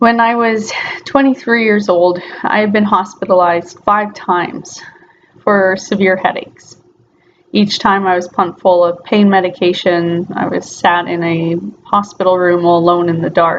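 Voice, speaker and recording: A woman's normal speaking voice at medium pitch and moderate pace. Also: fairly even intonation. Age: 20s. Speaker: patient fundraising for surgery. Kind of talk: personal testimony.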